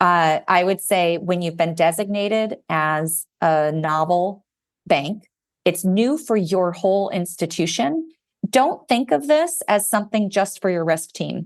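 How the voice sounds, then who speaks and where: Against a quiet background, a woman with a plain, everyday voice speaks at a fairly slow pace and medium pitch, with ordinary pitch variation. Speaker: banking regulatory advisor. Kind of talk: podcast interview.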